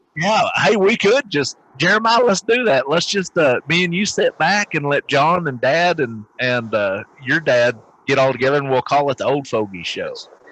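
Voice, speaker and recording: A man with a Southern US accent speaks at a moderate pace in a bright, sharp tone. His fairly high pitch swings very widely, in a dry, close sound with no echo. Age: 40s. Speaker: podcast co-host, military veteran. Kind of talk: casual chat.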